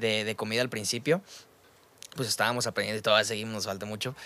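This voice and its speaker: With a Mexican accent, a man is talking. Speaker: podcast host. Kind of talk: casual chat. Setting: studio.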